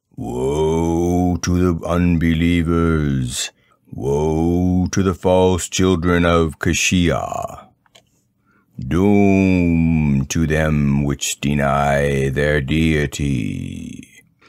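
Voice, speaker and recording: In a booming, put-on character voice, the speaker moves at a very slow pace. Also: man, very deep, low pitch for a man. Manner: ominous, proclaiming doom.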